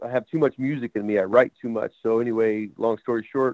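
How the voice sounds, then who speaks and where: A plain, everyday voice at a moderate pace, with fairly even intonation and a dry, close sound with no echo. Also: man. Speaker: drummer. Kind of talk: casual interview.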